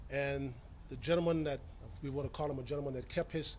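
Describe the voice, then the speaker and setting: A man's very fast, somewhat breathy speech in an American accent, fairly high in pitch and monotone, with flat intonation and audible room echo. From US South, Tampa, Florida. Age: 60s. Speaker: county commission chairman. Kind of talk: press conference statement.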